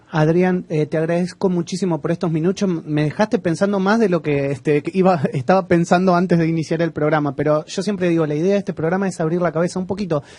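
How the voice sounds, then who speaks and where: A man with an Argentine accent speaks very fast, with hardly any pauses and fairly even intonation. His pitch is high and his tone dark and mellow. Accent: Argentine Spanish (Rioplatense). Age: young. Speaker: radio host. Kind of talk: radio interview.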